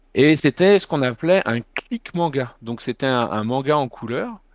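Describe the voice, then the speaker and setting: A man speaks at medium pitch with ordinary pitch variation and a very slow pace. The sound is dry and close, with no echo. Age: 40s. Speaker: manga publisher and festival founder. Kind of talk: interview.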